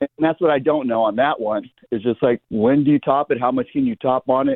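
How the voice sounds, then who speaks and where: A man speaks at a fairly quick pace in a medium pitch with fairly even intonation. It is a normal speaking voice. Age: 60s. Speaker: caller, landscaper. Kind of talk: radio call-in question. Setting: phone call. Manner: casual, talkative.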